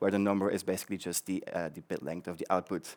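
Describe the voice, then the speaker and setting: A man's voice with a Flemish accent. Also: very clean recording, silent background. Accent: Belgian (Flemish) English. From Belgium. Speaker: conference speaker, developer advocate. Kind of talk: tech conference talk. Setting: stage with audience. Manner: fast; many filler ums and repetitions.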